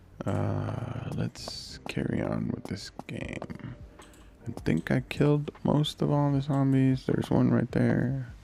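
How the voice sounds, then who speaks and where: Quiet, a man speaks over noticeable background noise. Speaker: gaming youtuber. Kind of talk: gameplay commentary. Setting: home at night while kids sleep.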